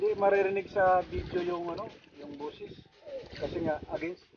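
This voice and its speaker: A man's high voice at a fairly quick pace. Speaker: fishing vlogger. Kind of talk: casual vlog talk. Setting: outdoors on a boat at sea.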